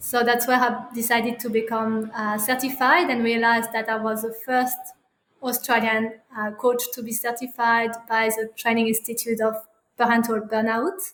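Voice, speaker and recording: In a French accent, a woman speaks at a moderate pace. Her pitch is fairly high and her intonation monotone and flat. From France. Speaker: parenting coach. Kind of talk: interview. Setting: podcast recording. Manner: halting, many fillers.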